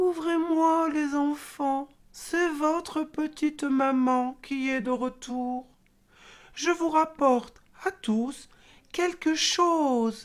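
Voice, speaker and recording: The speaker uses a put-on character voice. The pace is very slow. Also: woman, high pitch for a woman. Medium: read story. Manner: sly and wheedling.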